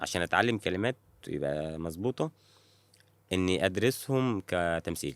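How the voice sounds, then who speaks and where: A man with a very deep, low voice speaks fairly slowly with lively intonation. The recording is very clean, dry and close, with a silent background and no echo. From rural Egypt (village outside Cairo). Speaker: actor. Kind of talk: casual chat. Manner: halting, many false starts.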